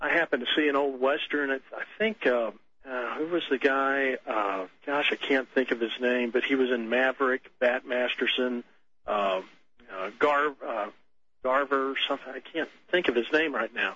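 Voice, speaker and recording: A normal speaking voice delivers lines at a moderate pace with ordinary pitch variation. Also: man, medium pitch for a man. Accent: American. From Texas. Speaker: caller, store worker. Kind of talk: phone-in call. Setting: phone call.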